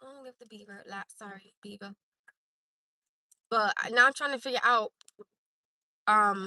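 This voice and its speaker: With a bright, sharp, animated tone, a woman talks at a moderate pace, her loudness swinging widely. The sound is dry and close with no echo, and her pauses are long and frequent. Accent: American. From Newark, New Jersey. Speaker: live streamer. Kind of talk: casual chat.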